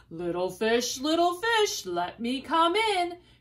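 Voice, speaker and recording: Bellowing in a put-on character voice, a woman speaks at a high pitch and a fairly slow pace. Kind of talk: bedtime story. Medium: read story. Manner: menacing, roaring.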